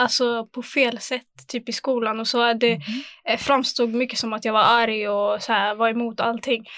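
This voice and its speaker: A woman speaks at a fairly slow pace with a fairly high pitch. She has a plain, everyday voice. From Sweden, Angered, Gothenburg. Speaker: former youth council chair. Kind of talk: casual chat.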